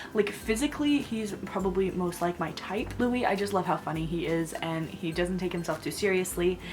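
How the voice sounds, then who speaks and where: A woman speaks quietly at a fairly low pitch, with lively intonation and an animated tone. Audible room echo and noticeable background noise surround her. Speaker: book vlogger. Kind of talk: casual vlog monologue. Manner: gushing, animated.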